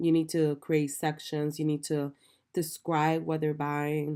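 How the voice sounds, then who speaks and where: A woman's very deep, low voice in a dark, mellow tone at a moderate pace. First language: not English. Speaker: online business coach. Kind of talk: tutorial. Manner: many filler ums and repetitions.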